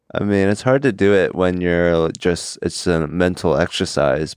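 A man's very deep, low voice carries a slight Korean accent. The background is quiet. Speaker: comedian. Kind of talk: casual chat. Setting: studio. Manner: occasionally halting, searches for words.

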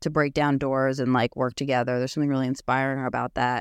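The recording is very clean, with a silent background. The sound is dry and close, without any echo. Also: woman. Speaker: podcast host, housing advocacy director. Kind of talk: interview conversation. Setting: office in Washington, D.C.

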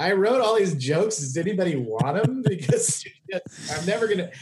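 Through audible room echo and noticeable background noise, a man with an American accent speaks fairly quickly with lively intonation. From Oklahoma, Tulsa. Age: 40s. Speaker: comedian. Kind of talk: casual chat.

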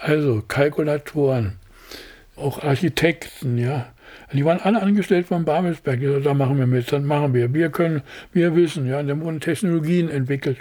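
A man speaks at a moderate pace with a fairly high pitch. His tone is dark and mellow. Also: ordinary pitch variation. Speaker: production designer. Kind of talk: interview. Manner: halting.

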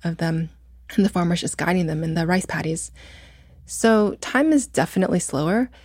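The speaker has a Midwestern US accent and talks at a fairly quick pace with long, frequent pauses. The recording is very clean, with a silent background. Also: woman, fairly low pitch for a woman, ordinary pitch variation. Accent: General American (Midwestern). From US Midwest (Muncie, Indiana). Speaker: fashion designer. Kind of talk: interview conversation.

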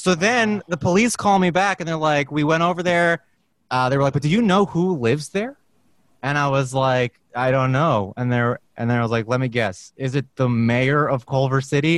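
A man with a plain, everyday voice and an American accent speaks at a moderate pace. His pitch is fairly high and his intonation lively. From Brooklyn, New York. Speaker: guest, voiceover actor. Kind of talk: casual chat. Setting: video call.

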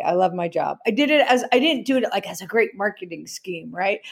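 A woman's fairly high voice with an animated tone and a fairly quick pace, on a very clean recording with a silent background. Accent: American. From New Jersey. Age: 50s. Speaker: writer and entrepreneur. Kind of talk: interview conversation.

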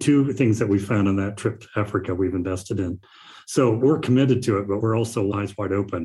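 Speaking at a fairly quick pace, a man has a fairly low pitch, a dark, mellow tone, a somewhat breathy quality, and ordinary pitch variation. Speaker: investor. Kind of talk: interview conversation.

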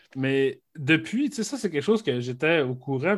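Using an ordinary speaking voice, a man talks at a moderate pace with a fairly high pitch and lively intonation. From Quebec, Saguenay (Arvida). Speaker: podcast co-host. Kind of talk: casual chat.

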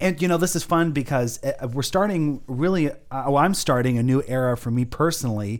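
Here a man uses an ordinary speaking voice, fairly high in pitch, with ordinary pitch variation. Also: fairly quick pace. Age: 20s. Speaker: faith podcast host. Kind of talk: casual faith chat.

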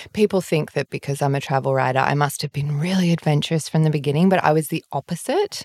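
A woman speaks with an Australian accent at a very deep, low pitch. The sound is dry and close with no echo. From Sydney, Australia (North Shore). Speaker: travel writer. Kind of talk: casual chat.

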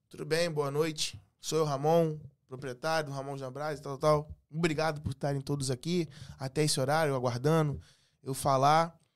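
A man with a plain, everyday voice speaks at a moderate pace, fairly high-pitched, with fairly even intonation. The recording is very clean, with a silent background. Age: 30s. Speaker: entrepreneur and delivery business consultant. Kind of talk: casual chat.

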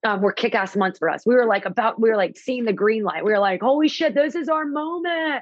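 A woman with a fairly high pitch and an animated tone talks at a fairly quick pace, using very wide pitch swings and hardly any pauses. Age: 30s. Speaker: fitness studio owner. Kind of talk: interview.

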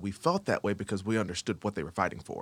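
A man with an American accent, fairly low in pitch, speaking very fast on a very clean recording with a silent background. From Akron, Ohio. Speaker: business owner. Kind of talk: panel discussion.

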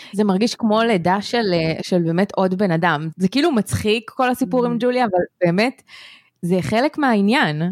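Recorded very cleanly against a silent background, with a dry, close sound and no echo, a woman with a plain, everyday voice speaks at a medium pitch and moderate pace, with lively intonation and very even loudness. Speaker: podcast co-host. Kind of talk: scripted intro then casual chat.

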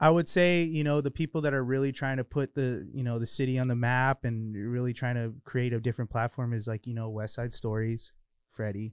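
The speaker keeps a moderate pace and fairly even intonation, recorded with a dry, close sound, no echo, and a quiet background. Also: man. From Southern California, Highland near San Bernardino. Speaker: student filmmaker. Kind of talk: interview. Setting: livestream podcast recording.

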